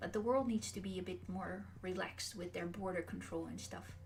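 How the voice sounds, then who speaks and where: Moderate-paced speech from a woman, with audible room echo. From Netherlands. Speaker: streamer. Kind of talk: livestream Q&A chat. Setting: livestream. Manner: hesitant fillers.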